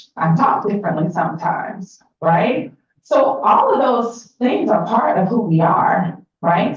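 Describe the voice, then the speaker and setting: Using lively intonation, a woman with an American accent talks at a medium pitch. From Atlanta, Georgia, US South. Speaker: workshop facilitator. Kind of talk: interactive workshop presentation. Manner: conversational, engaging audience.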